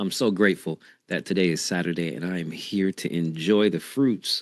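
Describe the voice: A man speaks at a fairly slow pace. His voice is raspy.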